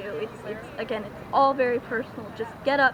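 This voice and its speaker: Against noticeable background noise and audible room echo, a woman speaks at a fairly quick pace in a high pitch, her intonation fairly even. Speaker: cosplayer and tarot card reader. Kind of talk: interview at a festival. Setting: outdoors at a renaissance festival. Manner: halting, many fillers and repeats.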